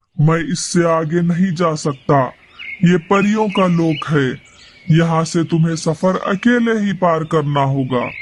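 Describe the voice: A man puts on a cartoonish character voice, pitched high for a man. He talks at a fairly slow pace.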